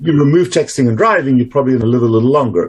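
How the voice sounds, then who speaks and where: Here a man talks in a South African accent, his voice somewhat breathy. His pitch is medium, with ordinary pitch variation. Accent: South African, retained. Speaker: doctor, obesity and metabolic health specialist. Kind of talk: interview.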